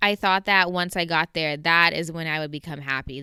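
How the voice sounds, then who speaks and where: A woman with a very deep, low pitch and a bright, sharp tone in a Southern Californian accent, on a very clean recording with a silent background. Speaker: podcast host. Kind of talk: personal storytelling monologue. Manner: casual, conversational.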